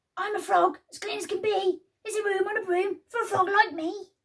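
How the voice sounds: This put-on character voice is extremely high and croaky. It moves at a fairly quick pace.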